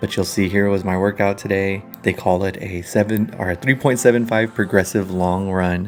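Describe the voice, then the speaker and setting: A man's fairly low-pitched voice with fairly even intonation and hardly any pauses, over noticeable background noise. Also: moderate pace. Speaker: vlogger, beginner runner. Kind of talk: casual vlog. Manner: halting, many fillers.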